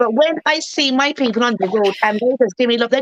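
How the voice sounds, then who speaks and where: In a Barbadian accent, a woman with a high pitch speaks at a fairly quick pace. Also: dry, close sound with no echo. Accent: Bajan. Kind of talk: casual chat.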